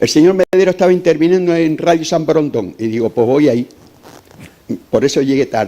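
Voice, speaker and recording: A man with a fairly high voice and a dark, mellow tone speaks at a fairly quick pace. His pauses are long and frequent, with ordinary pitch variation. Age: 60s. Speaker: audience member, retired cook. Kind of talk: public Q&A question. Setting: lecture hall with audience. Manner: impassioned.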